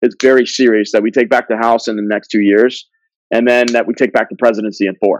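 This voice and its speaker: Heard dry and close with no echo, a man in a normal speaking voice talks at medium pitch and a fairly quick pace. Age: 30s. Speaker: political candidate. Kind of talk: casual interview chat.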